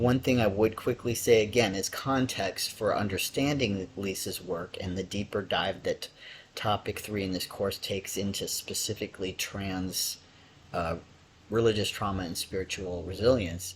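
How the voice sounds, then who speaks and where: In an American accent, the speaker's voice comes across as somewhat breathy. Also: man, fairly low pitch for a man, moderate pace. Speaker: lecturer. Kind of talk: lecture. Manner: hesitant, many fillers.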